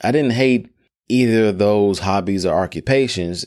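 A man with an American accent speaks at a fairly slow pace in a fairly low voice with ordinary pitch variation, on a very clean recording with a silent background. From Memphis, Tennessee (US South). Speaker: podcast host. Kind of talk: personal storytelling monologue.

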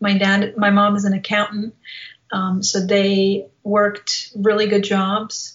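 Very slowly, a woman speaks with a Bosnian accent at a medium pitch, somewhat breathy. Her intonation is monotone and flat, and her loudness very even. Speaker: motivational speaker. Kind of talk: interview.

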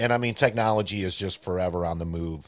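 A man speaks at a fairly quick pace. The recording is very clean and the background silent. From Puerto Rico, then upstate New York. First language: Spanish. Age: 40s. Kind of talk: casual interview chat.

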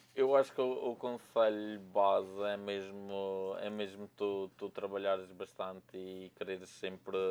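Fairly low in pitch and monotone, a man speaks at a fairly slow pace with hardly any pauses, his loudness swinging widely. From Madeira, Portugal. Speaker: videographer. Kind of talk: casual interview.

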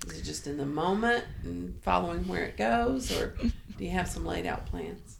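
Over noticeable background noise, a woman speaks at a moderate pace with hardly any pauses. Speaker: podcast host. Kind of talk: casual interview chat. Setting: on location at guest's place.

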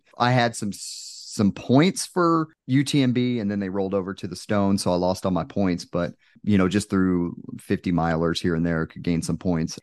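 A man with an American accent speaks at a moderate pace in a plain, everyday voice, his pitch fairly low, the sound dry and close with no echo over a quiet background. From Texas. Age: 30s. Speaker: Air Force firefighter and ultrarunner. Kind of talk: casual chat.

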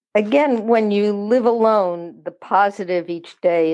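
This woman has a dark, mellow tone and speaks with an American accent. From US Maryland. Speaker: senior interviewee. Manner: outspoken.

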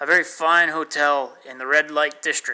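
A man puts on a character voice, pitched fairly high, and talks at a moderate pace. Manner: sarcastic.

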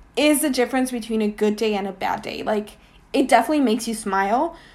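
In a Spanish accent, a woman talks with very wide pitch swings. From Mexico. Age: 20s. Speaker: art curator. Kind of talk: casual interview.

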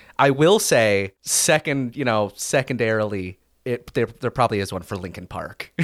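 Over a silent background in a very clean recording, a man with an ordinary speaking voice talks at a medium pitch and moderate pace, with ordinary pitch variation and a dry, close sound with no echo. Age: 20s. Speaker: podcaster. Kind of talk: casual chat.

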